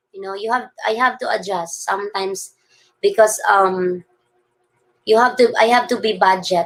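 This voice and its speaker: A woman with a Filipino accent, bright, sharp tone and fairly slow pace. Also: very clean recording, silent background. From Philippines. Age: 40s. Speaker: vlogger. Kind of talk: live stream chat reading viewer comments. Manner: halting.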